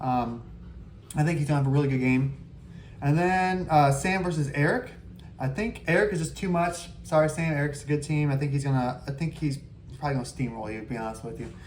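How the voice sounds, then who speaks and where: Somewhat breathy, a man speaks at a fairly quick pace with a fairly high pitch and ordinary pitch variation. There is audible room echo. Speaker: fantasy football league host. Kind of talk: casual commentary video. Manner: fast; hesitant, many fillers.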